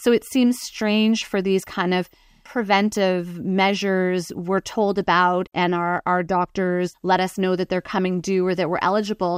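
A woman's medium-pitched, monotone voice with flat intonation at a moderate pace, hardly any pauses, in a dry, close sound with no echo on a very clean recording with a silent background. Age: 40s. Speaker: breast cancer patient advocate. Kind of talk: interview.

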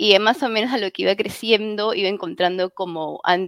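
In a dry, close sound with no echo, a woman speaks at a medium pitch with ordinary pitch variation in an ordinary speaking voice. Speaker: fan website editor. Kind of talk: casual chat.

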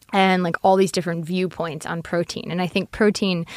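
This is an unremarkable speaking voice. The pace is fairly quick. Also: woman. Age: 30s. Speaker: food startup co-founder and CEO. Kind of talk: casual interview.

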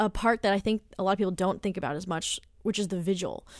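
A woman's medium-pitched voice at a fairly quick pace, with ordinary pitch variation, an unremarkable speaking voice. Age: 20s. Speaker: death doula. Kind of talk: interview. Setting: studio.

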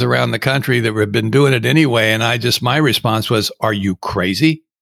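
A man at a medium pitch with vocal fry, ordinary pitch variation and a moderate pace, on a very clean recording with a silent background. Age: 70s. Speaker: recovering alcoholic. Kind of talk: casual chat.

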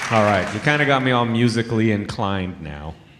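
At a moderate pace, a man uses a normal speaking voice with a fairly low pitch and ordinary pitch variation. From Toronto. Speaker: comedian. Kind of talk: stand-up. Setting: stage with audience.

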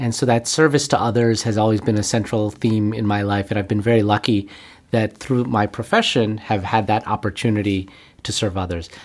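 Fairly quick, fairly even speech in a Western New York accent. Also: man, fairly low pitch for a man. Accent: American, Western New York. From Buffalo, New York, US. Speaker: physician and healthcare executive. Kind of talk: interview.

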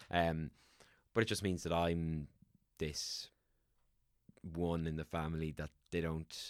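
A man with an Irish accent, very deep, low pitch, monotone, flat intonation, a fairly slow pace and long, frequent pauses. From Ireland. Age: 30s. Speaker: actor and voiceover artist. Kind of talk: casual chat.

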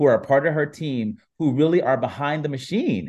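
Against a quiet background, a man with an American accent and an unremarkable speaking voice talks at a fairly quick pace, his fairly high pitch showing ordinary variation. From US Midwest, Warren, Ohio. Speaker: app founder and entertainment journalist. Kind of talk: interview.

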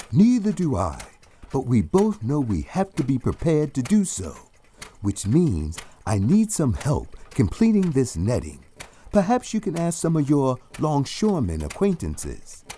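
A man's fairly high voice carries a dark, mellow tone, somewhat breathy, with very wide pitch swings at a fairly slow pace. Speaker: audio drama actor voicing a scientist. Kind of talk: audio drama, technical explaining.

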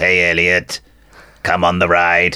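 Using a put-on character voice, a man sounds robotic at a very deep, low pitch. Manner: mimicking, playful.

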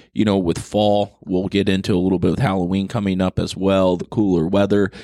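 A man with an ordinary speaking voice and a fairly low pitch talks at a moderate pace, captured in a very clean recording with a silent background. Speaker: podcast host. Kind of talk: casual chat.

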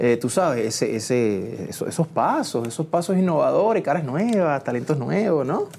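A man speaks at a moderate pace with hardly any pauses, his fairly high pitch swinging very widely. Noticeable background noise runs underneath. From Puerto Rico, Trujillo Alto. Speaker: singer and actor. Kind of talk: casual chat. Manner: animated.

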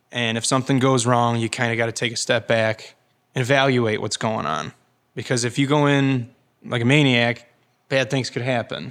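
A man with an unremarkable speaking voice and an American accent talks at a moderate pace and medium pitch, with fairly even intonation. The recording is very clean, with a silent background. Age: 20s. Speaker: farmer. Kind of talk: interview. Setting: on location at a winery.

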